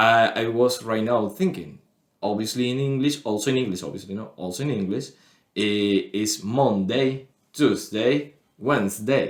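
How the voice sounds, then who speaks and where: A man speaks at medium pitch. His pace is moderate and his pitch variation ordinary. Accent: Spanish. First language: Spanish. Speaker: podcast co-host. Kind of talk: casual chat. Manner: halting.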